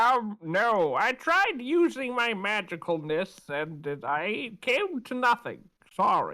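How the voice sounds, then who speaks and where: A put-on character voice at a fairly high pitch and fairly slow pace, on a very clean recording with a silent background. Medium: actual play. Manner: cheerful, rambling.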